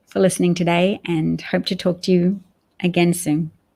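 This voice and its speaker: Speaking at a fairly slow pace, a woman with an Australian accent uses a fairly low pitch. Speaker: political livestream host. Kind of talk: casual livestream chat. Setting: live stream.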